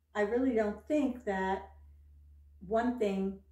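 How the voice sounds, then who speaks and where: A woman speaks at a medium pitch in a dark, mellow, somewhat breathy tone, with fairly even intonation and a fairly slow pace. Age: 70s. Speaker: fashion and lifestyle vlogger. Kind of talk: casual talk to camera.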